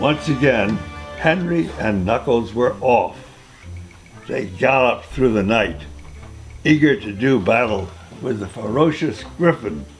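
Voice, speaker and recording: Music plays behind a man whose medium-pitched voice swings very widely in pitch as he speaks at a fairly slow pace. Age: 80s+. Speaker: great-grandfather reading aloud. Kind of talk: children's story reading.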